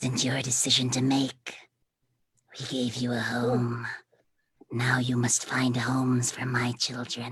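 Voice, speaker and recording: A whispered, gravelly put-on character voice with a menacing tone, fairly slow, broken by long and frequent pauses. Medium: stage play. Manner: menacing, intimate whisper.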